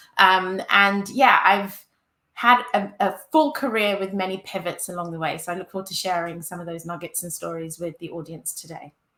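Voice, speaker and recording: A woman talks at a moderate pace with a medium pitch and ordinary pitch variation. Her tone is bright and sharp, and her loudness swings a lot. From UK. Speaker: user experience director, panelist. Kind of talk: panel discussion.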